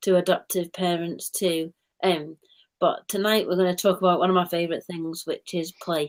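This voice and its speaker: A woman talks with a Mancunian accent. Her intonation is monotone and flat. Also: fairly low pitch for a woman, moderate pace. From Manchester, England. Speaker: play therapist. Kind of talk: live stream chat.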